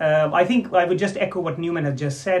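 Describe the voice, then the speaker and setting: Through noticeable background noise, a man speaks at a very fast pace with ordinary pitch variation. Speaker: diabetes consultant doctor. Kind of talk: casual interview.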